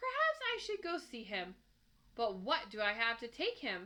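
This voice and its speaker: Putting on a gruff character voice, a woman speaks at a fairly high pitch and a moderate pace. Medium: read story. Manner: gruff, curt.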